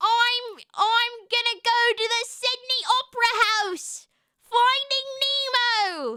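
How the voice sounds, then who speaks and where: Extremely high in pitch, a woman's raised, projected voice carries a bright, sharp tone at a very slow pace. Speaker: vtuber streamer. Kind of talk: casual chat. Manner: loud; animated.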